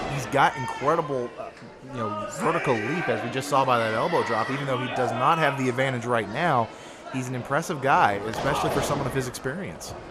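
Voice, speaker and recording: There is noticeable background noise as a man speaks at a very fast pace. His pitch is medium, with ordinary pitch variation. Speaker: wrestling color commentator. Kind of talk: live sports commentary.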